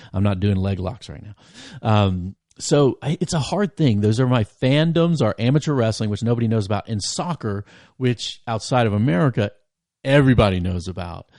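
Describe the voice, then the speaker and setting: Over a quiet background, a man talks in an animated tone with lively intonation and a medium pitch. The sound is dry and close with no echo. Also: moderate pace. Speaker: podcast host and campus minister. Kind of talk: casual interview chat. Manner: loud.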